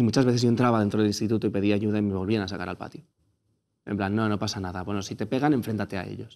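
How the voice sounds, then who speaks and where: This man talks very fast at a fairly low pitch. His intonation is fairly even over a quiet background. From Spain, Catalonia (Tarragona, Móra d'Ebre); Catalonia, Spain. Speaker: content creator. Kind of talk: testimony. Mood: reflective, recounting painful memories. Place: studio. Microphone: lapel.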